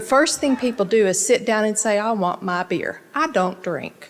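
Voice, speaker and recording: A woman speaks with noticeable background noise. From Texas, Dallas area. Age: 60s. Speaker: local resident speaking at city council. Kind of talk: public comment speech.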